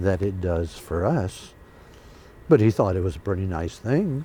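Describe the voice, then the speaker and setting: A man talks at a moderate pace with lively intonation. His tone is dark and mellow, and somewhat breathy. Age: 80s+. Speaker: Korean War veteran pilot. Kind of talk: oral history interview. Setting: museum.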